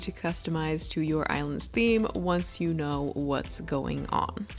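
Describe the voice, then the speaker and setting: A woman's voice over background music. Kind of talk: game tutorial narration. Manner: casual, joking.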